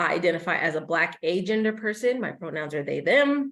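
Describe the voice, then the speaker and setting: A woman with a Midwestern US accent at a fairly quick pace. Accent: US Midwest. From Kansas (Wichita). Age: 20s. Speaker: policy advocate. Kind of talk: presentation. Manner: many fillers and self-corrections.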